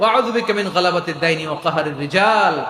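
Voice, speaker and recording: A man talks at a high pitch that varies in an ordinary way. Noticeable background noise can be heard. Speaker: Islamic scholar / preacher. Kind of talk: Islamic sermon (waz) excerpt. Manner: animated, conversational.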